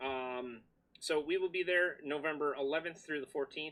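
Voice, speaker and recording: Loud and bright with a sharp tone, a man speaks at a fairly high pitch. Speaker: livestream host of a PC modding channel. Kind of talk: casual livestream chat. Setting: home basement livestream. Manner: animated.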